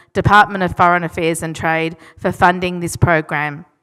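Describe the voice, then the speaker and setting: A woman with an Australian accent speaks at a medium pitch and a fairly quick pace. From Australia (Melbourne). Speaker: education program representative. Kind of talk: formal speech. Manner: formal.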